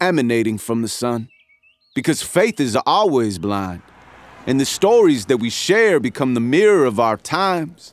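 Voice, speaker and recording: Here a man with a medium-pitched voice talks at a moderate pace, his pitch swinging very widely. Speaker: spoken word poet. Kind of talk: spoken word poetry performance. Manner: rhythmic, impassioned.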